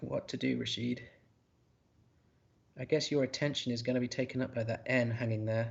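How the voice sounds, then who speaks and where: A man speaks at a medium pitch and a fairly quick pace, with long, frequent pauses. His voice is somewhat breathy, and his intonation is flat and monotone. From northern England, Yorkshire. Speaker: word game commentator. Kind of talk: live commentary. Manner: halting, frequent repeats and fillers.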